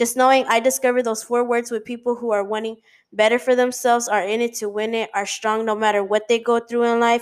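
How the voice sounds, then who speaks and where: In a very clean recording with a silent background, a woman with a normal speaking voice talks at a fairly quick pace and a fairly high pitch with fairly even intonation. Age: 20s. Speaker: podcast host. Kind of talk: motivational monologue.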